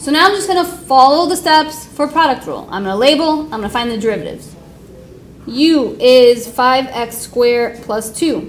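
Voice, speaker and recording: A woman speaks at a moderate pace with high pitch and lively intonation. Noticeable background noise and audible room echo fill the recording. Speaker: high school math teacher. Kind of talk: classroom lecture. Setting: classroom with students.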